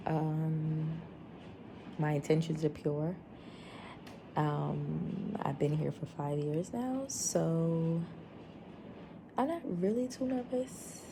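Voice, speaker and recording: A woman speaks quietly and very slowly, with long, frequent pauses and lively intonation. Her voice is very deep and low, dark, mellow and somewhat breathy. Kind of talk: vlog. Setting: friend's home.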